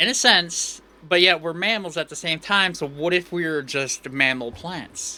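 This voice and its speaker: A man's high-pitched voice has a bright, sharp tone and ordinary pitch variation. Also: moderate pace. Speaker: VTuber streamer. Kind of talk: live game stream chat. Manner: animated; loud, sounds like yelling.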